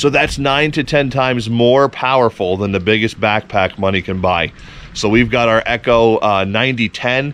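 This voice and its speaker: A man talks with lively intonation. Music plays behind the dry, echo-free sound. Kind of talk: casual product review vlog. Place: open country. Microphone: phone near.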